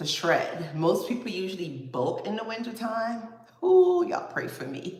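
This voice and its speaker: A woman speaks with a Guyanese accent, and audible room echo surrounds her voice. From Guyana. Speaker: fitness vlogger. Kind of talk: casual livestream chat. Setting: livestream at computer.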